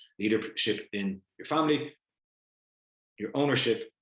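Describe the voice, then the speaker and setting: In an Irish accent, a man speaks at a very fast pace in an animated tone. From Ireland. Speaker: family business educator. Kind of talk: online lecture. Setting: video call.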